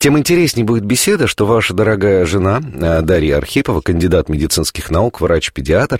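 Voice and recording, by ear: A man speaks at a fairly quick pace with a low pitch and a slightly husky edge. His intonation is lively.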